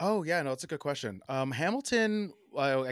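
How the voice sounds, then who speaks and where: In an American accent, the speaker moves at a fairly quick pace with lively intonation, on a very clean recording with a silent background and a dry, close sound with no echo. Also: man. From US Northeast, New Jersey (South Orange). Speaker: designer and artist. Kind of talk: casual interview. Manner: halting, many fillers.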